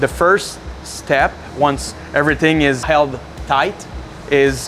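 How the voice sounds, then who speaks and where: Speaking at a very slow pace, a man is heard with music behind him. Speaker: factory engineer guide. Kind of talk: interview answer. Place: factory.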